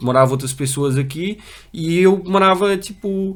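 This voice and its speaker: Talking at a moderate pace, a man uses a high pitch with ordinary pitch variation. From Brazil, moved to Portugal at six. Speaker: paralympic para-canoeist. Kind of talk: interview testimony. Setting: studio. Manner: halting, many fillers and repetitions.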